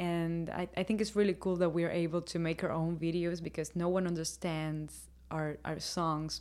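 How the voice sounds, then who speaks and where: A woman with a Spanish accent speaks at a fairly low pitch and fairly slow pace in a monotone, flat intonation. The recording is very clean, with a silent background. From Havana, Cuba. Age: 20s. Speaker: rock singer. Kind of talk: interview.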